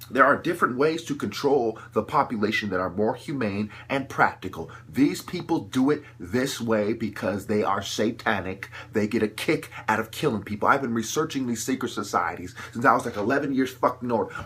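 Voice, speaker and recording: A man's normal speaking voice at medium pitch, moderate pace, and ordinary pitch variation. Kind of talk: impassioned monologue.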